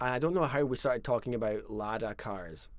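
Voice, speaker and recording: The speaker is a man with a Scottish Highland accent. His pitch sits in the medium range. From Scottish Highlands. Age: 40s. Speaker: fiddle player and tune writer. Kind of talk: live stream storytelling. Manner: casual, conversational.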